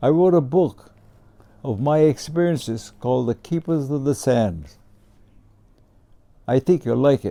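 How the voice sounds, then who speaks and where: Speaking at a fairly slow pace with long, frequent pauses, a man uses a fairly high pitch, a dark, mellow tone and ordinary pitch variation. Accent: Hawaiian. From Hawaii, Honolulu. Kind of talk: personal reminiscence.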